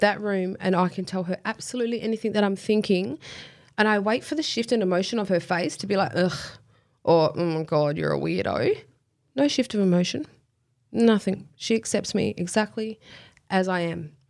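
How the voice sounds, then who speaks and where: A woman with an Australian accent talks fairly quickly at medium pitch with ordinary pitch variation and long, frequent pauses, in a very clean recording with a silent background. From Western Australia, Kwinana area. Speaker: professional boxer and personal trainer. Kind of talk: casual interview.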